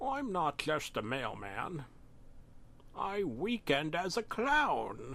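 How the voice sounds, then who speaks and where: A put-on character voice at a very slow pace, with very wide pitch swings, long, frequent pauses and clear background noise. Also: man, high pitch for a man. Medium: read story. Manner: stern, cryptic, laughs heartily.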